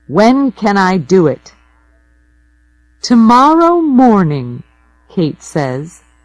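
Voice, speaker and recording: Music plays in the background as a woman with an American accent talks at a very slow pace, leaving long, frequent pauses. Her pitch is medium, and it swings very widely. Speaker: audiobook narrator. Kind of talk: audiobook reading. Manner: slow, clear.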